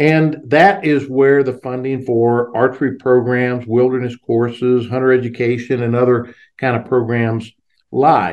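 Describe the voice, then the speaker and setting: Fairly slow and at medium pitch, a man talks with fairly even intonation in an unremarkable speaking voice. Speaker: wildlife biologist and industry advocate. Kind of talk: interview.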